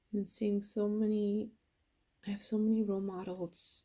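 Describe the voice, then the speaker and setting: A woman's fairly high, somewhat breathy voice with a dark, mellow tone, at a fairly slow pace. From Mexican-American, US. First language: Spanish. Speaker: sculptor. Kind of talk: casual vlog monologue.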